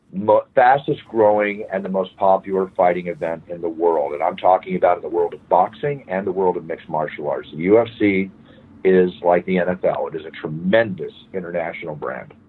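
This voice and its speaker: A man with an American accent, very deep low pitch, ordinary pitch variation and a fairly quick pace. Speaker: fight announcer. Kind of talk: interview answer.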